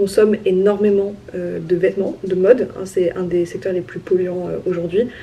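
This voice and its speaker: There is noticeable background noise in this clip. The woman's voice is at a medium pitch. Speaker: vlogger. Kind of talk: casual vlog talk to camera. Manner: fast.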